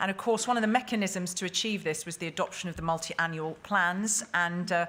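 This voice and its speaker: Her pace fairly quick, a woman speaks at a medium pitch with ordinary pitch variation. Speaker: conference moderator. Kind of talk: panel moderation. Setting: conference hall with audience. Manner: fast.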